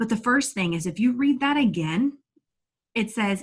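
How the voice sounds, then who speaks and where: Energetic and animated, a woman speaks in a somewhat breathy voice. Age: 30s. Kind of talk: inspirational talk to online audience. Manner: energetic, animated; stumbling over words at times.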